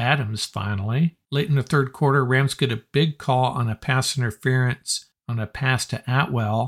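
At a moderate pace, a man speaks in a somewhat breathy, medium-pitched voice, with a dry, close sound and no echo. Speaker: podcast host and sports analyst. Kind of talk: sports recap commentary, play-by-play style game recap. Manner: brisk, energetic, conversational fan enthusiasm with wry sarcasm.

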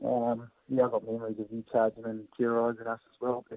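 A man talks with a New Zealand accent. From New Zealand, Hawke's Bay. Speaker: professional cricketer and horse breeder. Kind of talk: interview. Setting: phone call.

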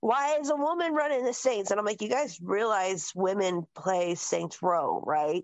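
With very wide pitch swings and a fairly high pitch, a woman talks at a fairly slow pace with hardly any pauses and very even loudness. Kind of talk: casual chat.

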